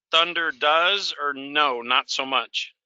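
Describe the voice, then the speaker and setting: Talking at a very slow pace, a man speaks at a fairly high pitch with ordinary pitch variation. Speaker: truck driver, webinar participant. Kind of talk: casual Q&A on video call. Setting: video call from inside his truck. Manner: halting, many fillers.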